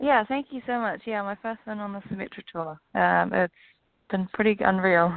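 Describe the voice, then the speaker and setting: A woman speaks at a moderate pace and medium pitch, with a slight New Zealand accent and ordinary pitch variation. Her loudness swings widely. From New Zealand, Auckland. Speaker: professional golfer. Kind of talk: radio interview. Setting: phone call.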